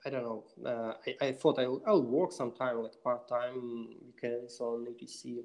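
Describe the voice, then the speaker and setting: Speaking with a Russian accent, a man moves at a fairly slow pace. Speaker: software developer. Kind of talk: interview. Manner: halting, many fillers.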